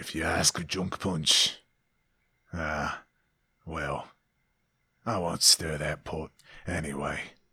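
A man whispers in a raspy, put-on character voice. He goes at a very slow pace with long, frequent pauses. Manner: stage whisper.

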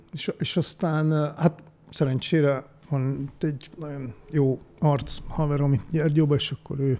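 This man talks at a very slow pace, his fairly high pitch carried in a dark, mellow tone. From Budapest, Hungary (Újpest). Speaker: DJ and sound designer. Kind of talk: casual interview. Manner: halting, many fillers.

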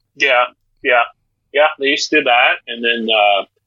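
This man talks at a moderate pace with a Maritime Canadian accent. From Atlantic Canada, Miramichi, New Brunswick. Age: old. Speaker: former radio announcer. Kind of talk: casual interview.

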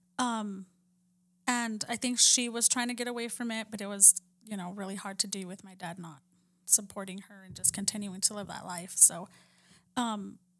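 A woman speaks with an American accent at a moderate pace. She has an ordinary speaking voice, medium in pitch, with fairly even intonation. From Texas, near the Mexican border. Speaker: podcast guest telling her life story. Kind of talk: testimony.

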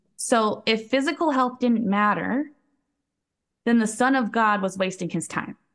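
Against a quiet background, a woman with a normal speaking voice talks at a fairly slow pace, her fairly high pitch showing ordinary variation. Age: 30s. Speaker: holistic health coach. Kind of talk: interview conversation.

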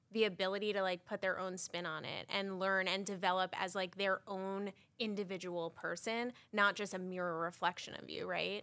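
A woman with a New York accent, a bright, sharp tone and a moderate pace, on a very clean recording with a silent background. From Long Island, New York. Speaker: manager. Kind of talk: casual chat.

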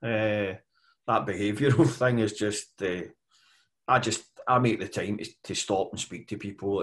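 A man with a west of Scotland accent talks in a fairly low pitch, somewhat breathy, with fairly even intonation. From west coast of Scotland, mining community. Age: 50s. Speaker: construction management consultant. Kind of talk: interview.

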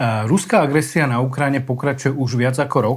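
A man's somewhat breathy voice sits at a medium pitch, moving at a moderate pace with fairly even intonation. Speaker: newspaper reporter, podcast host. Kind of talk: interview.

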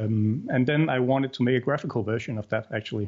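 With an unremarkable speaking voice, a man talks at a fairly quick pace and keeps a fairly even intonation. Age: 40s. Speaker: indie game developer. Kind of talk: interview.

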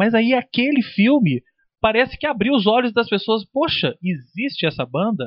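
A man with a high voice speaks using lively intonation. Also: moderate pace. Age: 30s. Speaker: music journalist. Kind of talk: casual chat. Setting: studio.

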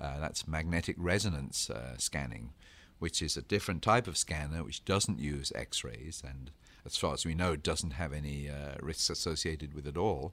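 Heard on a very clean recording with a silent background, the voice has an English accent and vocal fry. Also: man, very deep, low pitch for a man, ordinary pitch variation, moderate pace. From England. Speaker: radiation scientist, co-host. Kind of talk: educational podcast discussion.

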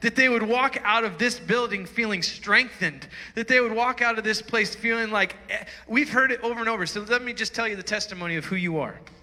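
Over noticeable background noise, a man speaks in a raised, projected voice at a high pitch. His pace is fairly quick, with ordinary pitch variation. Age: 40s. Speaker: pastor. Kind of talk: sermon. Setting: church. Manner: animated.

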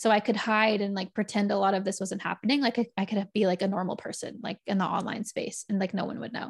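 Speaking very fast with hardly any pauses, a woman uses a medium pitch, a somewhat breathy sound and fairly even intonation on a very clean recording with a silent background. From Texas. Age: 30s. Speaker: podcaster in recovery. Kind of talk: casual interview.

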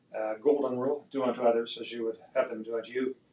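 A man with a Canadian accent, medium pitch, very fast delivery and monotone, flat intonation. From Canada, Edmonton, Alberta. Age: 70s. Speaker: business executive. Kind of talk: interview. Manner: halting.

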